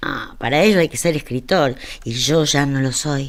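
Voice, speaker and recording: A woman speaks at a fairly slow pace. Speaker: narrator. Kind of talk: literary story reading. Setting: studio.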